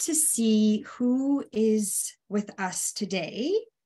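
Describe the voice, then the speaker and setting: A woman's fairly high, dark, mellow voice at a very slow pace over a quiet background. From Romania. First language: Hungarian. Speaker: public health consultant and nurse educator. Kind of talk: webinar presentation. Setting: online webinar.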